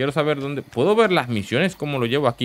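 Here is a man with a medium pitch. His voice moves in very wide pitch swings. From Latin America. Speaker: gaming youtuber. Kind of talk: let's play commentary.

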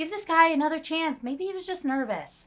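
Putting on a squeaky character voice, a woman talks at an extremely high pitch and a fairly quick pace. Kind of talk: scripted film dialogue, casual. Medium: short film. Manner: casual, breezy. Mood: playful, encouraging.

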